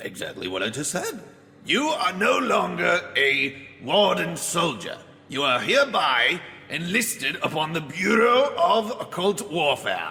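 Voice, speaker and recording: Putting on a character voice, a man talks at a fairly slow pace and a high pitch. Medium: audio drama. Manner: mocking, laughing.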